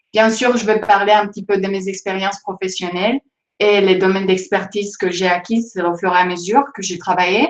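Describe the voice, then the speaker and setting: Speaking at a moderate pace with a non-native accent, a woman of medium pitch keeps her intonation fairly even. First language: not French (speaking French). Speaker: data scientist. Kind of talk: presentation to students. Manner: hesitant, many fillers.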